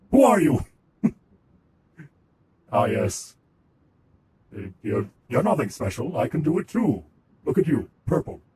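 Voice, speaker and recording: A man uses a put-on, robotic character voice with a fairly high pitch. He talks at a moderate pace with long, frequent pauses. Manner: haughty, high and mighty.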